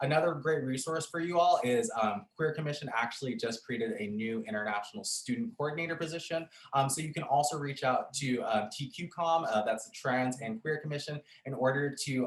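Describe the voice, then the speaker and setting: A man's fairly high voice moves at a fairly quick pace. His pitch swings very widely. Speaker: program coordinator at campus resource center. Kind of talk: orientation presentation. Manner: fast.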